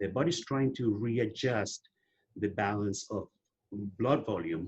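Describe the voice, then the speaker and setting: A man speaks at a fairly slow pace in a fairly low pitch. His voice is somewhat breathy, with ordinary pitch variation. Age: 60s. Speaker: testosterone therapy advocate. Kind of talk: interview.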